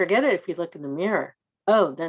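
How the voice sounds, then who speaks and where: The speaker is soft-spoken, with vocal fry. The words come at a very fast pace. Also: woman. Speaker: poet. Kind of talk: casual chat.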